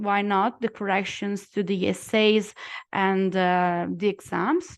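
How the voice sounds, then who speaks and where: In an Italian accent, a woman with a medium pitch talks at a very slow pace in a monotone, flat intonation with very even loudness against a quiet background. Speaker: lawyer and former student. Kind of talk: testimonial talk in a webinar. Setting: online webinar. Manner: halting, many fillers.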